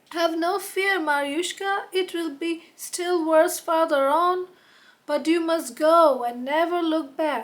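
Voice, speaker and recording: A woman uses a put-on character voice. It is extremely high in pitch and fairly slow in pace. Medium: read story. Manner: purring.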